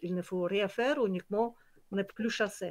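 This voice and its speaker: Ordinary pitch variation marks a woman speaking at a moderate pace. The background is quiet. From Kyrgyzstan. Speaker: nature conservation project founder. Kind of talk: online presentation. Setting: video call. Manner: halting, many hesitations.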